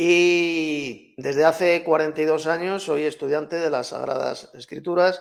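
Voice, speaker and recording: A man with a Castilian accent speaks at a fairly slow pace. His pitch is fairly high and his intonation monotone and flat. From Spain, Madrid. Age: 60s. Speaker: Bible teacher and author. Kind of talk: debate.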